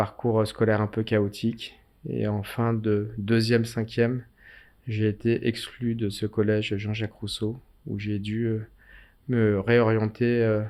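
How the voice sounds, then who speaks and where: On a very clean recording with a silent background, a man speaks very slowly in a fairly low pitch with monotone, flat intonation. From Paris suburbs, France (Seine-Saint-Denis). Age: 50s. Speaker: mayor. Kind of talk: interview.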